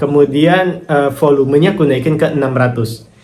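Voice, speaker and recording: Speaking at a fairly slow pace with ordinary pitch variation, a man's voice carries audible room echo. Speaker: affiliate marketer and YouTuber. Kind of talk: casual vlog answering viewer comments.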